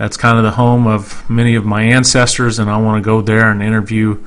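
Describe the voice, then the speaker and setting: At a fairly quick pace, a man talks at a medium pitch. He has an American accent. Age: 40s. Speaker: podcast host. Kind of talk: podcast introduction.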